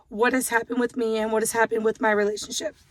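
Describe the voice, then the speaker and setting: A woman is speaking. Her voice is loud. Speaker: vlogger. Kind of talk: casual chat. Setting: in a car.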